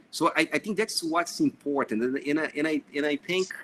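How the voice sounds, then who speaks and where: The tone is bright and sharp, with lively intonation and a Brazilian accent. The sound is dry and close, with no echo. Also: man. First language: Portuguese. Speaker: engineer and project manager. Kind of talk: panel discussion. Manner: hesitant with many fillers.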